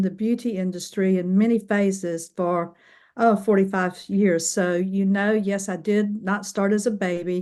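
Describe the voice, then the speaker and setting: Against a quiet background, a woman talks in a normal speaking voice at a fairly slow pace. Her pitch is medium, and her intonation stays fairly even. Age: 60s. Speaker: transformational coach, former beauty professional. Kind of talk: podcast interview.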